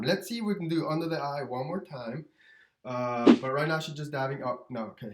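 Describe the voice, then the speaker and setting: A man's slightly airy voice moves along at a fairly brisk speed. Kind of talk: improvised comedic voiceover narration of a makeup tutorial. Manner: casual, hesitant, many filler words.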